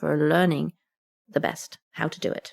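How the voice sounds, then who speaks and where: A woman with an English accent, in a dry, close sound with no echo. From England. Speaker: retired community nurse. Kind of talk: interview answer.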